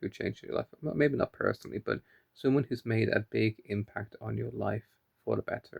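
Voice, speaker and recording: A man speaks quietly at a moderate pace, the sound dry and close with no echo. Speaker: vlogger. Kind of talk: casual video diary monologue. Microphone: phone held close.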